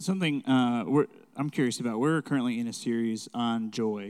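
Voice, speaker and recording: In a normal speaking voice at medium pitch, a man talks at a fairly quick pace on a very clean recording with a silent background. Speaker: church host. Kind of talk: casual chat.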